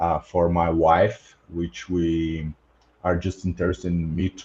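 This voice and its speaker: The speaker talks very slowly with a Portuguese accent in a dark, mellow, somewhat breathy tone. The background is quiet. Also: man. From Brazil. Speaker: podcast host, past-life researcher. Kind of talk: casual group discussion. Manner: halting, many fillers.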